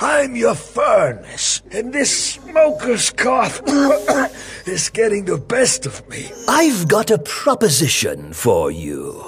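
A man's cartoonish character voice at a very slow pace, with clear background noise

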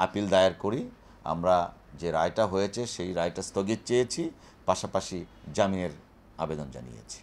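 Ordinary pitch variation shapes the very deep, low pitch of a man's voice. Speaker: lawyer. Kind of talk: press statement.

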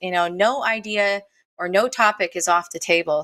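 Her tone is bright and sharp, and she has an American accent. The woman's pitch is medium and her pace moderate. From US Midwest. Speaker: show host and roller derby announcer. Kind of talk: live-streamed show hosting. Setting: video call. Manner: halting.

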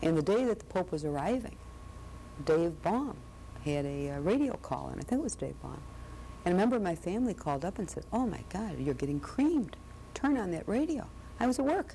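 A woman talks at a fairly quick pace. There is light background noise. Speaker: interviewee. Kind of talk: interview answer. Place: studio. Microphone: lapel.

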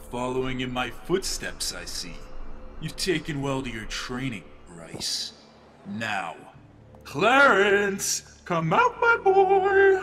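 In a put-on character voice, the words come at a very slow pace with long, frequent pauses. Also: man. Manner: gleeful, mocking, theatrical.

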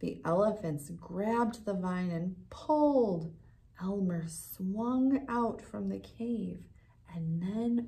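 Someone reads aloud in a natural voice.

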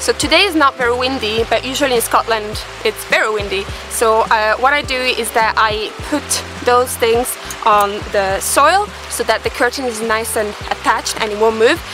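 A woman at a moderate pace with ordinary pitch variation, dry sound with no echo, and clear music in the background. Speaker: van-life vlogger. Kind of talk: casual vlog tutorial. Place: open country.

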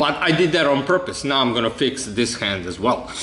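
Lively intonation carries the speech at a moderate pace, with audible room echo and light background noise. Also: man. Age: 30s. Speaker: video creator presenting his own theories. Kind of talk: monologue explanation to camera. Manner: halting, many fillers.

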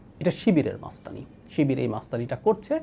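Lively intonation in a man's dark, mellow, somewhat breathy voice. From Bangladesh, Rangamati district. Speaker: political commentator. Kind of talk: political commentary monologue.

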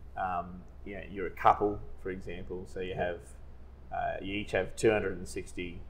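Speaking at a moderate pace, a man talks with an Australian accent. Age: 40s. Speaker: financial adviser. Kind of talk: casual chat. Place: meeting room. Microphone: lapel.

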